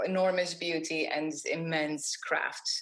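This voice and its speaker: Her pitch fairly low, a woman speaks with a non-native accent. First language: not English. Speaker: graphic designer, awards jury president. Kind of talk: interview. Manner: halting, many false starts.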